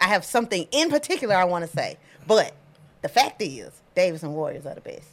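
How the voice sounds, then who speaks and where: A woman with an American accent, animated and playful in tone, talking very fast with big swings in loudness. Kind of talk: casual banter podcast chat. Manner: animated, playful.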